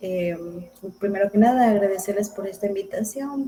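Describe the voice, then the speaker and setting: This is a woman with a normal speaking voice at medium pitch. She talks at a moderate pace. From Ecuador, rural Zamora province. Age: 30s. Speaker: recovering addict guest, university student. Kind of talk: personal testimony interview.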